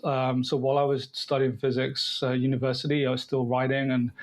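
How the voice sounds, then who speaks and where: This man talks at a fairly quick pace with a fairly high pitch. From Devon, southwest England. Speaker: writer and filmmaker. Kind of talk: interview conversation. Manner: halting, many fillers and repeats.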